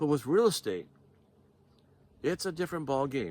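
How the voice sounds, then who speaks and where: A man's voice with lively intonation. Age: 60s. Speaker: door-to-door sales trainer. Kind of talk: motivational sales talk. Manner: informal, conversational; halting, self-correcting.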